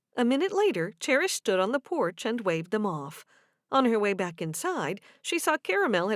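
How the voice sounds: A natural reading voice is heard over quiet surroundings.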